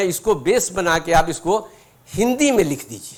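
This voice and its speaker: A man's high-pitched voice. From Bhojpuri-speaking region, India. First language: Bhojpuri (speaking Hindi). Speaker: guest speaker, retired senior civil servant. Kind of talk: inspirational talk with personal anecdotes. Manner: conversational, with frequent hesitations.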